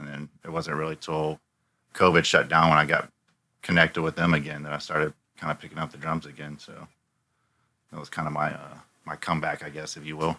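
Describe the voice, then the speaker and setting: In an American accent, a man with a very deep, low pitch and a bright, sharp tone talks at a fairly quick pace in a monotone, flat intonation, broken by long, frequent pauses. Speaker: drummer in a band, former chef. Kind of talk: casual interview chat.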